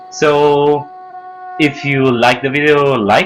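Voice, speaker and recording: Over noticeable background noise, a man with a non-native accent speaks at a fairly high pitch. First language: not English. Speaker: video game tutorial creator. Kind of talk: tutorial introduction. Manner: halting, pauses to find words. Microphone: poor sound quality.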